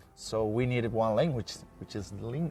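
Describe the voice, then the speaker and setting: Against music in the background, a man speaks at a fairly slow pace. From Basque Country, Spain (San Sebastian). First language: Spanish and Basque. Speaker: historian. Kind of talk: interview conversation. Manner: halting, many fillers.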